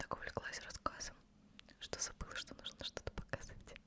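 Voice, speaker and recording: Over noticeable surrounding noise, a woman keeps a moderate tempo as she whispers. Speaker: ASMR creator. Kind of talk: ASMR talk to camera. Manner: whispered.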